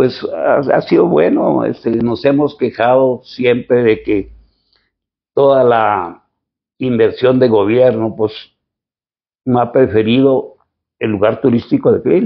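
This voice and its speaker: A man at a very slow pace, with long, frequent pauses and very even loudness. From Mexico, Chihuahua, Sierra Tarahumara. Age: 80s+. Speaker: local historian and author. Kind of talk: interview. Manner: halting.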